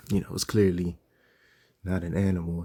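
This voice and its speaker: Soft-spoken and at a moderate pace, a man uses a very deep, low pitch and a dark, mellow tone with ordinary pitch variation. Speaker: religious teacher. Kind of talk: casual lesson commentary. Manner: soft-spoken, talking low; casual, many fillers.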